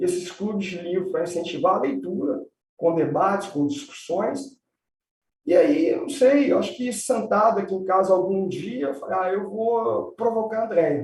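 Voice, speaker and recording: Lively intonation marks this man's high-pitched voice. His pace is moderate. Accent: Minas Gerais. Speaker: environmental law professor and lawyer. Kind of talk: live-stream interview.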